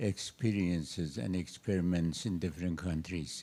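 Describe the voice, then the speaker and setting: With a Persian accent, a man speaks in a very deep, low pitch and a dark, mellow tone. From Iran. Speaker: astrophysicist, audience member. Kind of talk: audience question at a seminar. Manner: slow.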